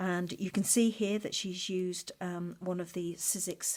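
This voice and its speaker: Speaking at a fairly slow pace, a woman keeps a monotone, flat intonation at a fairly low pitch. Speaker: craft journaling vlogger. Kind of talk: show-and-tell video. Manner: hesitant, many fillers.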